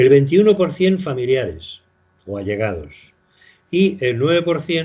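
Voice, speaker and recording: A man's somewhat breathy voice at a fairly slow pace, with very wide pitch swings. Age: 70s. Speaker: retired doctor. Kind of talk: radio interview. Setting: phone call. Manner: halting.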